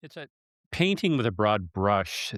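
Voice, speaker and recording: A man with a plain, everyday voice speaks at a fairly quick pace and a fairly low pitch. The recording is very clean with a silent background and has a dry, close sound with no echo. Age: 60s. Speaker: podcast host. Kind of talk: podcast interview.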